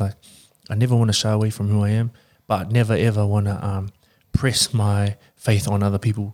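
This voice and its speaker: In a New Zealand accent, the speaker delivers a dark, mellow tone at a fairly quick pace with monotone, flat intonation, in a very clean recording over a silent background. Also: man. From New Zealand, Porirua (Wellington region). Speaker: rugby player. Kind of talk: casual chat.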